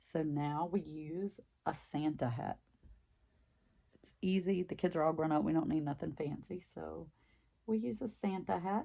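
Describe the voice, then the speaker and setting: This woman has a very deep, low voice with a dark, mellow tone and lively intonation. She talks at a moderate pace, stopping often for long pauses. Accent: strong Southern US. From US South, Mississippi. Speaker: craft vlogger. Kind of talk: casual chat.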